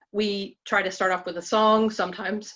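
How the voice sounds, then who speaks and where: A woman speaks at a fairly quick pace in a monotone, flat delivery over a quiet background. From Alabama. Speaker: women's ministry group leader. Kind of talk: group presentation. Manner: fast.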